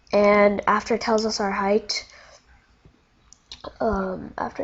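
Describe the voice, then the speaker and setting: Speaking very slowly, a woman pauses often and at length. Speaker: coding tutorial youtuber. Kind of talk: tutorial. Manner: halting, many fillers; casual.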